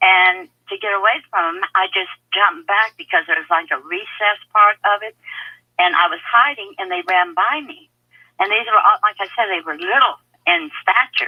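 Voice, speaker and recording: A woman with lively intonation and big swings in loudness. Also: medium pitch for a woman, moderate pace. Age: 60s. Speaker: caller. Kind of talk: call-in radio question. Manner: halting.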